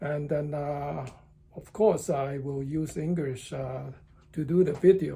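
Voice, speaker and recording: A man with a dark, mellow, somewhat breathy voice speaks very slowly at a fairly high pitch. His intonation is fairly even, while his loudness swings widely. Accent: Chinese. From southern China (Cantonese-speaking). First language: Cantonese. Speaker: driving and tai chi instructor, vlogger. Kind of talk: casual vlog monologue. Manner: slow, halting with many fillers.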